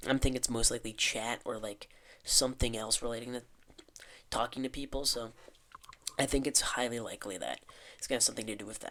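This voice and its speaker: A man of medium pitch talks at a very fast pace in a bright, sharp tone with monotone, flat intonation. His loudness swings widely, broken by long, frequent pauses. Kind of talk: casual talk to camera. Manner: rambling, unedited.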